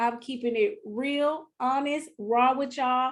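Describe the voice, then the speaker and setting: Animated and passionate, a woman with a Southern US accent speaks at a moderate pace in a high pitch. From US South, Mississippi (partly California). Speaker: business coach. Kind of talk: live online workshop. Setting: live video stream. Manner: animated, passionate.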